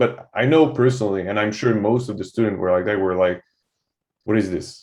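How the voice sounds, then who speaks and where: Speaking with a French-Canadian accent, a man uses a fairly low pitch. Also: ordinary pitch variation, fairly quick pace. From Quebec, Canada (francophone). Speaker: soldier, military veteran. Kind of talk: podcast conversation. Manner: halting, many fillers and repetitions.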